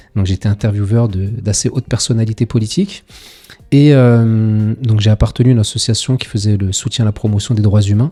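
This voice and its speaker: The voice is somewhat breathy with a dark, mellow tone, moving at a fairly quick pace with fairly even intonation. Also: man, fairly low pitch for a man. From France, Paris suburbs (Seine-Saint-Denis). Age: 40s. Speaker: local politician. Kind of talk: interview. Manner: hesitant, frequent fillers.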